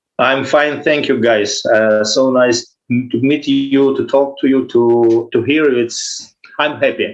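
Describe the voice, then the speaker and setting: At a very slow pace, a man talks with a fairly high pitch and fairly even intonation. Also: hardly any pauses. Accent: non-native. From Ukraine. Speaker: guitarist. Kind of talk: interview. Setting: video call. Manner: halting.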